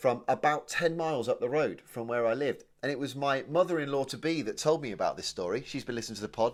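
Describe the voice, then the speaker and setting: On a very clean recording with a silent background, a man with a southern English accent speaks in an animated tone at a fairly high pitch, with lively intonation. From England, Oxfordshire (Kidlington). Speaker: comedy podcast co-host. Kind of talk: casual chat.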